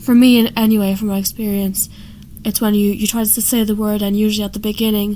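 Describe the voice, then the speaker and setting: In an Irish accent, a woman speaks with a fairly high pitch and a flat, monotone intonation. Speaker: person who stammers, amateur cartoonist. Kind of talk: explaining own artwork. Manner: halting, with repetitions and fillers.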